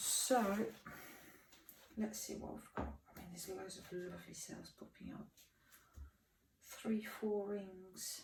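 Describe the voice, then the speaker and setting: Audible room echo carries a woman's words, spoken at a very slow pace. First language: French. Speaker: fluid artist. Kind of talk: tutorial.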